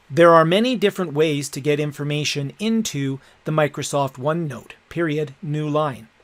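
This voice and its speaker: There is noticeable background noise behind a man's voice. He speaks fairly high with ordinary pitch variation. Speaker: educational technology instructor. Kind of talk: tutorial.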